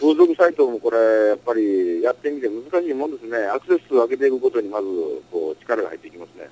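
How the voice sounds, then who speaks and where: A man in a Kansai accent talks at a very fast pace with a medium pitch, lively intonation and big swings in loudness, in a dry, close sound with no echo. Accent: Kansai (Osaka) dialect. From Osaka, Japan. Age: 30s. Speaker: adult-entertainment business owner. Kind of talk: interview. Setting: home music studio.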